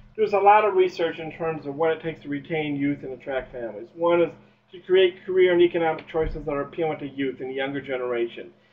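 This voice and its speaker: A man talks at a very fast pace with a fairly high pitch and ordinary pitch variation. Noticeable background noise can be heard. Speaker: university extension presenter. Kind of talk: webinar presentation. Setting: webinar. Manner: animated.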